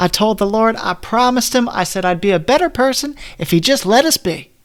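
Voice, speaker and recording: A man uses a put-on character voice that is raspy and high-pitched. He talks at a fairly quick pace with lively intonation. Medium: read story. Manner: jovial.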